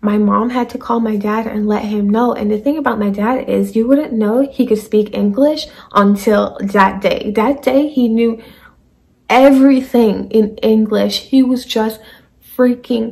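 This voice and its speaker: A woman speaks with fairly even intonation at a fairly slow pace. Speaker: vlogger. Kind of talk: casual story time vlog. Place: home room. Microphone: phone near.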